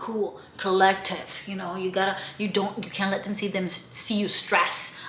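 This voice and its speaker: Over noticeable background noise and audible room echo, a woman with an animated tone speaks in a raised, projected voice at a moderate pace. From outside the US, moved to America. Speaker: travel vlogger and podcast co-host. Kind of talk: casual travel vlog.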